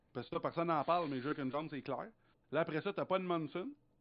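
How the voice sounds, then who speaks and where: A man with a high pitch talks with ordinary pitch variation. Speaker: racing podcast co-host. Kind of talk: casual chat.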